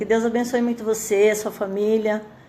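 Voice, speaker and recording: A woman's fairly high voice with a dark, mellow tone and audible room echo. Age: 60s. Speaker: churchgoing mother giving testimony. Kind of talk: testimony. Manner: halting, many fillers.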